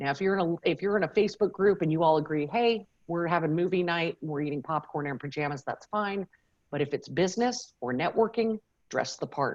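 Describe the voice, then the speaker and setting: A woman talks at a fairly low pitch and a fairly quick pace. Her intonation is lively. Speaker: media trainer and former TV journalist. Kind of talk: keynote presentation. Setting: video call. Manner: fast; animated.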